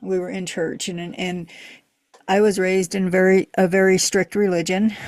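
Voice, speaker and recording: A woman speaks at a medium pitch and a fairly slow pace. Her intonation is monotone and flat. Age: 60s. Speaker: podcast co-host. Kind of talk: casual chat. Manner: halting.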